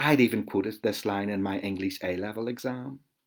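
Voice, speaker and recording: A man with a Belfast accent in a very clean recording with a silent background. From Northern Ireland, West Belfast. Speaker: author. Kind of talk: reading aloud.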